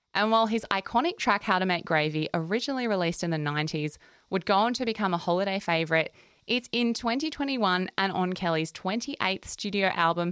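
A woman at medium pitch with an Australian accent, fairly quick pace, ordinary pitch variation and very even loudness, on a very clean recording with a silent background. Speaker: music podcast host. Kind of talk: casual chat; scripted narration.

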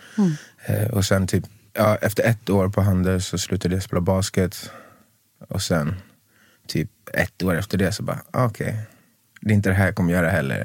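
A man with a very deep, low pitch speaks somewhat breathily at a fairly quick pace, with long, frequent pauses and fairly even intonation. The recording is very clean, with a silent background. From Sweden, Stockholm southern suburbs. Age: 30s. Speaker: singer, former professional basketball player. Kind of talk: casual chat.

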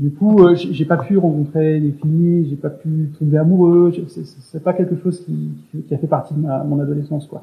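A soft-spoken man talks at a fairly slow pace. His pitch is fairly high. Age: 30s. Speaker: interviewee sharing personal story. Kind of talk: casual interview. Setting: remote call. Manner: halting. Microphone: poor recording quality.

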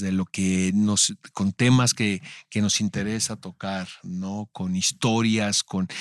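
A man speaks in a fairly low pitch with fairly even intonation. The sound is dry and close with no echo, in a very clean recording with a silent background. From Mexico, Tijuana. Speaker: podcast host. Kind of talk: casual interview chat.

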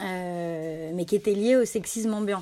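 A woman's medium-pitched voice with a dark, mellow tone, ordinary pitch variation and a very slow pace, on a very clean recording with a silent background. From France, Annecy (Rhône-Alpes). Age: 30s. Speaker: journalist and magazine founder. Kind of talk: interview. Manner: halting, many repetitions and fillers.

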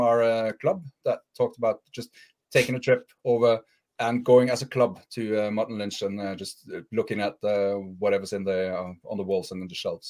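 Recorded in a dry, close sound with no echo, a man with a plain, everyday voice speaks at a medium pitch and a moderate pace. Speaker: ham radio enthusiast panelist. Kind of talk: casual chat. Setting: video call livestream.

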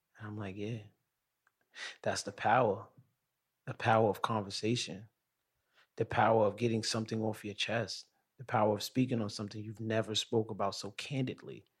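A man with a fairly low, somewhat breathy voice speaks at a fairly quick pace, with long, frequent pauses. His loudness swings widely. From Brooklyn, New York. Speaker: podcast host. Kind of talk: casual interview chat. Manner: animated.

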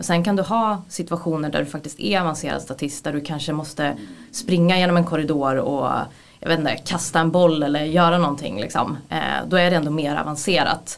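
A woman speaks at a fairly quick pace, her pitch very deep and low. Her pitch variation is ordinary. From Sweden, Gävle. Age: 30s. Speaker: former actor, film assistant director. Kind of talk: casual interview. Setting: studio.

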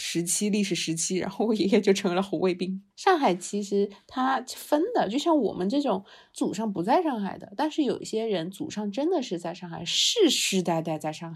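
This woman has a normal speaking voice at a medium pitch. Her intonation is lively and her pace moderate. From Shanghai. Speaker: podcast co-host. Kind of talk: casual chat.

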